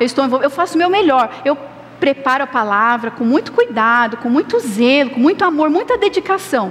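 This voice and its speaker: A woman speaks high-pitched against noticeable background noise. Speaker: pastor. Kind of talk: sermon.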